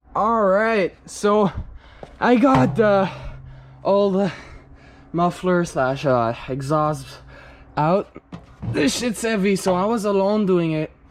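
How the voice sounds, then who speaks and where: Against noticeable background noise, the speech is very slow, with long, frequent pauses. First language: French. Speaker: car hobbyist youtuber. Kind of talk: casual DIY vlog narration. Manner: casual, halting with fillers.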